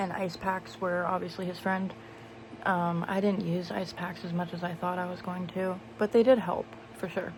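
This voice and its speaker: With fairly even intonation at a medium pitch, a woman speaks as audible room echo fills the space. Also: moderate pace. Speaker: vlogger. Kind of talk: casual vlog talk. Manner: hesitant, many fillers.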